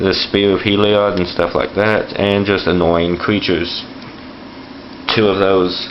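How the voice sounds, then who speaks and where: In a room with audible echo and noticeable background noise, a man speaks at a fairly slow pace in a fairly low, monotone, flat voice. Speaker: card game video host. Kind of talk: tutorial. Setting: home bathroom floor. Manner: fluctuating volume. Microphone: camera recording, poor quality.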